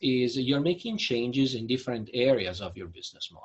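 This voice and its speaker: A man speaks fairly quickly at a medium pitch, somewhat breathy, his pitch swinging very widely. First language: Italian. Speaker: business consultant. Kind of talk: webinar presentation.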